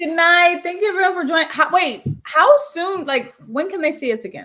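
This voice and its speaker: A woman's extremely high, bright, sharp voice, raised and projected, with lively intonation and a fairly quick pace. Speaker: podcast co-host. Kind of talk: casual chat.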